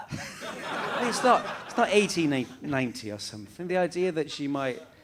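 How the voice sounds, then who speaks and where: Noticeable background noise sits behind a man whose fairly high voice moves in very wide pitch swings. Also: moderate pace. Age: middle-aged. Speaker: actor, writer. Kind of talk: interview answer.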